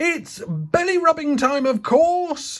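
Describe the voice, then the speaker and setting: A high-pitched, put-on character voice. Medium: read story.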